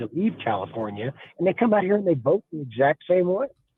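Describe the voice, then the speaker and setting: With an American accent and a plain, everyday voice, a man talks at a fairly quick pace with lively intonation. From Colorado. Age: 60s. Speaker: caller. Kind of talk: call-in radio opinion.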